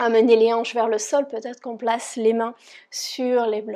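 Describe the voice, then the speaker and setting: Over a quiet background, a woman with a dark, mellow tone speaks fairly slowly at a fairly high pitch in a monotone, flat intonation. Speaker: yoga teacher. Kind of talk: guided yoga class instruction. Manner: calm, gentle.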